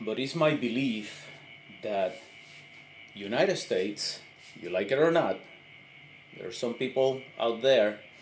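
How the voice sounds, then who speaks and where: Music plays in the background as a man at a medium pitch speaks at a fairly slow pace, with ordinary pitch variation and long, frequent pauses. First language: Spanish. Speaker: army veteran, political commentator. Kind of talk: impromptu monologue. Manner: halting, many fillers.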